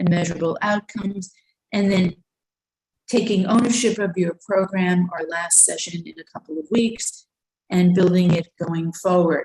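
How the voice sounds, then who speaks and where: Somewhat breathy, a woman with a New York accent talks at a moderate pace. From Brooklyn, New York. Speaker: school counseling presenter. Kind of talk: webinar presentation.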